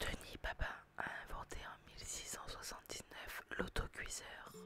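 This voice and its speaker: Someone whispers at a fairly slow pace. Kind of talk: whispered educational narration about history and inventions. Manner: whispered, soft-spoken.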